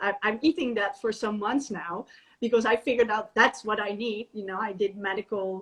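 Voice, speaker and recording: A woman speaks with a fairly high pitch and ordinary pitch variation. She has a Dutch accent, and the background is quiet. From Netherlands. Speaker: natural therapist and raw vegan chef. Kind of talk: casual interview. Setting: video call livestream. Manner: halting.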